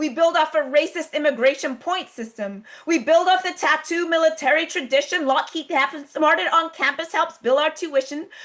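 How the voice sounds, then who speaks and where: The woman's voice sits at an extremely high pitch with ordinary pitch variation. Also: moderate pace, hardly any pauses. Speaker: spoken word poet. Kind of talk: spoken word poetry performance. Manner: rhythmic, rhyming delivery.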